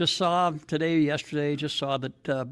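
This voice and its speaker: In a very clean recording with a silent background, a man talks at a fairly high pitch. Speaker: political speaker. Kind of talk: public speech. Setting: stage with audience.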